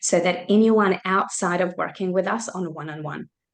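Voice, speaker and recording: Delivery comes at a moderate pace. It is a plain, everyday voice. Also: woman. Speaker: mindset coach. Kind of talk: webinar presentation. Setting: video call.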